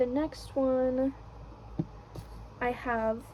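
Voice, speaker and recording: The woman's speech is soft-spoken. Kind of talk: casual talk to camera.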